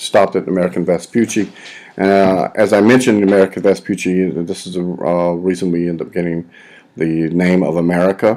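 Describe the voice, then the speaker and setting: A man talks at a fairly quick pace in a very deep, low pitch. His tone is dark and mellow, with fairly even intonation. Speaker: history teacher. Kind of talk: lecture. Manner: halting.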